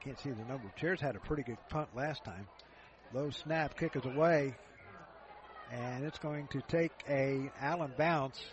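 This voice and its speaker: In an American accent, a man speaks at a moderate pace and a fairly high pitch, with ordinary pitch variation and long, frequent pauses. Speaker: college football play-by-play announcer. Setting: stadium broadcast booth. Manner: brisk, rhythmic play calling, ramps up on big plays; casual, conversational, with frequent uh fillers and self-corrections.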